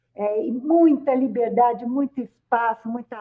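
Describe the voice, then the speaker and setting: In an ordinary speaking voice, a woman talks fairly slowly at a fairly high pitch with ordinary pitch variation. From Brazil, rural São Paulo state. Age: 60s. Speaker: psychologist and professor. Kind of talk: radio interview. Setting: radio studio.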